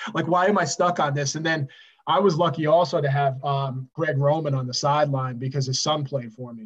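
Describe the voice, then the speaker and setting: A man with an American accent speaks at a fairly quick pace in a fairly high, somewhat breathy voice with fairly even intonation. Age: 40s. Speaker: high school football head coach. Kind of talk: casual interview chat.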